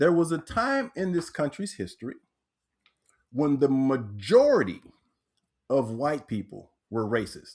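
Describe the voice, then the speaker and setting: In a very clean recording with a silent background, a man with an American accent talks at a fairly slow pace in a fairly high pitch, his voice swinging very widely in pitch, with long, frequent pauses. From Texas, Corpus Christi. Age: 60s. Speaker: author and transformational teacher. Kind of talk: podcast interview.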